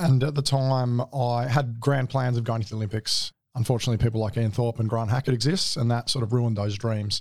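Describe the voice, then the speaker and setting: This man has an Australian accent and a medium pitch, with fairly even intonation. He speaks at a fairly quick pace with hardly any pauses. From Adelaide, Australia. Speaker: navy veteran, clearance diver. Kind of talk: interview testimony. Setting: studio.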